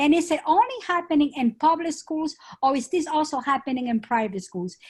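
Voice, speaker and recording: Speaking in a Spanish accent, a woman talks at a moderate pace with lively intonation. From Spain. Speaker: schoolteacher, audience member. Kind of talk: audience question.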